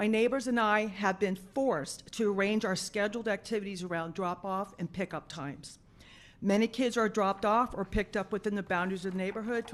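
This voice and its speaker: Over a quiet background, an unremarkable speaking voice with an American accent moves at a fairly quick pace with ordinary pitch variation. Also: woman. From South Florida. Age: 60s. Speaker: public commenter, retired paramedic and nurse. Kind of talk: public comment at a school board meeting. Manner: formal.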